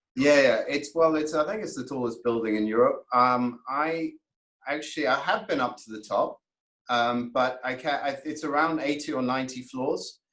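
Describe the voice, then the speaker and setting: This man's pitch is fairly high, with ordinary variation. He talks at a moderate pace. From Toronto, Canada then London. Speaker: plastic surgeon. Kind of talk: casual interview. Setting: remote call from private clinic.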